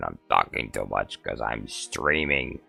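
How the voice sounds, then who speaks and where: A man talks very slowly. Background music can be heard behind him. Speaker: livestreamer. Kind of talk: casual live stream chat.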